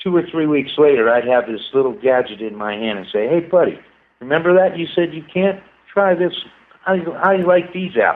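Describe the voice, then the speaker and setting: A man with a high voice talks fairly quickly, his intonation lively. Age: 60s. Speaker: inventor and scientist. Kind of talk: casual chat. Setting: radio show.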